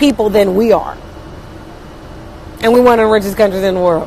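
A woman's voice sounds dry with no echo, over light background noise. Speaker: livestreamer. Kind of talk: casual vlog chat. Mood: annoyed, opinionated. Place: bus. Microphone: earbuds.

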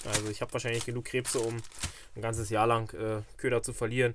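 A man speaks at a fairly quick pace with a fairly low pitch. His tone is fairly bright.

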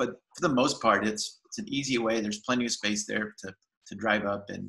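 Speaking at a moderate pace, a man with a fairly low pitch has a bright, sharp tone, vocal fry, a slightly husky edge and ordinary pitch variation.

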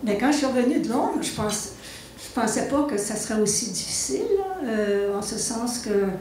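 A woman with a fairly high pitch and lively intonation speaks at a moderate pace, with audible room echo and light background noise. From Quebec. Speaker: documentary filmmaker; panelist. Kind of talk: panel discussion, personal career story. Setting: live event with audience. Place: hall.

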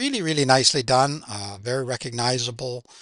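There is vocal fry as a man speaks at a moderate pace with ordinary pitch variation, with a dry sound with no echo and a quiet background. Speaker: music reaction channel host. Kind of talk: casual reaction commentary. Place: home room. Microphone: headset.

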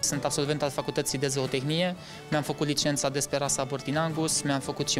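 Flat, monotone delivery at a fairly quick pace with clear music in the background. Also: man. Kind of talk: interview answer. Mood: earnest, calm. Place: office.

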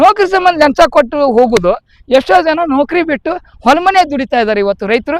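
A man's extremely high voice makes very wide pitch swings, recorded with a dry, close sound and no echo. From north Karnataka, Vijayapura district. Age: 50s. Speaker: local political aspirant. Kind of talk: political speech to voters.

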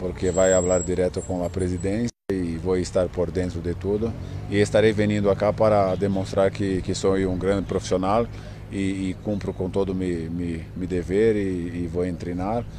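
A man speaks at a very deep, low pitch with fairly even intonation. There is noticeable background noise, and the sound is dry with no echo. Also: moderate pace. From Brazil. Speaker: footballer. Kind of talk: interview. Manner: halting. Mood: calm, somewhat sad. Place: open country. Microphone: handheld.

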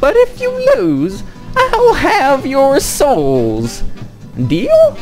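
A put-on character voice moves at a very slow pace. Music can be clearly heard in the background. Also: female-sounding voice. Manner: menacing, gambling challenge.

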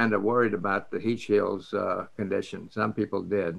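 With a Southern US accent, a man talks at a moderate pace in a bright, sharp tone against a quiet background. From Biloxi, Mississippi, USA. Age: 80s+. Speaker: retired astronaut and test pilot. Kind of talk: interview answer. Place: home room. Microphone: video call.

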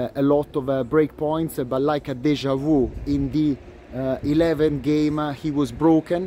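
A man with an Italian accent speaks very slowly at a fairly high pitch, his intonation monotone and flat. The sound is dry with no echo, with light background noise. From Italy. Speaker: tennis commentator, video blogger. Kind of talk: solo vlog commentary. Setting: outdoors at a tennis venue. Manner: hesitant, many fillers. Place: stadium. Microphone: phone near.

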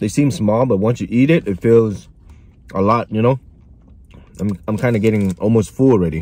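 A man's fairly low, dark, mellow voice at a moderate pace, with ordinary pitch variation and a dry sound with no echo. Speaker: food reviewer. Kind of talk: casual vlog chat. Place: car. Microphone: phone near.

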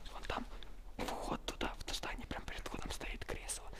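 Someone whispers at a moderate pace. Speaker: urban explorer vlogger. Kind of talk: casual vlog chat. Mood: wary, keeping low profile. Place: empty room. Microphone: phone near.

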